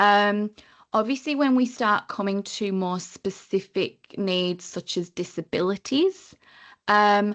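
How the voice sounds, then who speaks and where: Against a quiet background, a woman with a northern English accent speaks at a very slow pace. Her medium-pitched voice has ordinary pitch variation and a dry, close sound with no echo. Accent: northern English, near Liverpool. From northern England, Lake District. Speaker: training compliance consultant. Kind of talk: webinar presentation.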